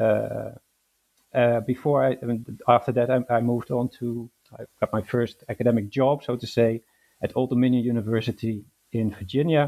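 A man with a Dutch accent speaks at a moderate pace and medium pitch in a dark, mellow tone. His intonation is monotone and flat, and the sound is dry and close with no echo. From Netherlands. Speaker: historian. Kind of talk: interview. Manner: hesitant, with fillers.

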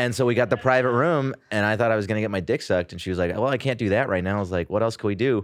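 In a Californian accent, a man talks at a very fast pace with hardly any pauses. His pitch is fairly low, with ordinary pitch variation. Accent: Californian American English. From US West Coast, San Jose (Bay Area). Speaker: comedian. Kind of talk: casual chat.

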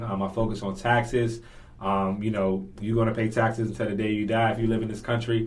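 An American-accented man speaks very fast at a medium pitch. His delivery is a flat monotone, and room echo is audible. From Washington D.C. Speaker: financial literacy coach. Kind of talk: casual interview. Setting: studio.

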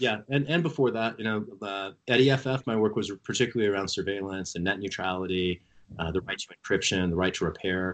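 In a plain, everyday voice with an American accent, a man talks at a fairly quick pace, his fairly low pitch moving with ordinary variation. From US Midwest, rural Missouri. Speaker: congressional candidate. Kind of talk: interview.

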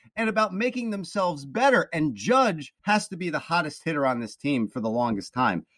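A high-pitched man with an American accent, fairly quick with hardly any pauses, very wide pitch swings, in a dry, close sound with no echo. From New Jersey. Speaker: sports podcast host. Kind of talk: casual sports talk.

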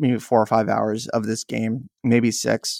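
A man with an American accent, heard in a dry, close sound with no echo. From US West Coast, San Diego. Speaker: video game podcaster. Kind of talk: casual chat. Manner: halting, frequent repetitions.

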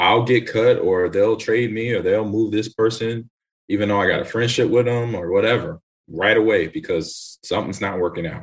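Somewhat breathy, a man with an American accent speaks at a moderate pace in a medium pitch with ordinary pitch variation. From Los Angeles. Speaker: retired football player. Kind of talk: casual chat.

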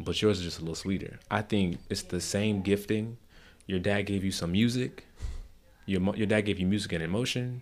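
With an American accent and an ordinary speaking voice, a man talks at a fairly quick pace and fairly low pitch with fairly even intonation, on a very clean recording with a silent background. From South Florida. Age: 20s. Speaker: podcast host. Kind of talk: casual chat.

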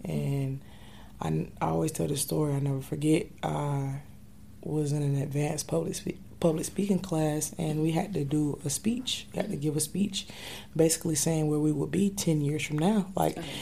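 A woman with an American accent talks at a moderate pace. Her voice is very deep and low, somewhat breathy, with a dark, mellow tone. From North Carolina (Durham). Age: 20s. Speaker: hip hop and spoken word artist. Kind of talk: casual interview.

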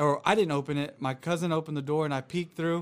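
With an American accent and a plain, everyday voice, a man talks fairly quickly at a fairly high pitch with fairly even intonation, on a very clean recording with a silent background. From Florida, US South. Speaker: podcast guest, new YouTuber, former boxer. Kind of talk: casual chat.

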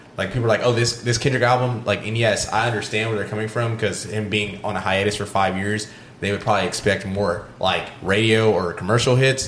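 Fairly quick and with hardly any pauses, a man talks in a fairly low pitch with monotone, flat intonation over noticeable background noise. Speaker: podcast co-host. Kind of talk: casual chat.

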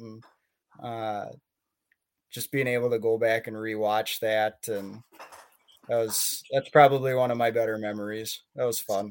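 In an ordinary speaking voice with an American accent, a man speaks at a moderate pace with fairly even intonation. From Minnesota. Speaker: hockey goalie. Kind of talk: casual chat.

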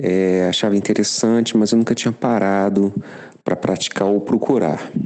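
Speaking at a moderate pace, a man with an unremarkable speaking voice keeps his fairly low pitch in fairly even intonation. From Rio de Janeiro, Brazil. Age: 50s. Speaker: listener sharing experience. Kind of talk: recorded voice message testimony.

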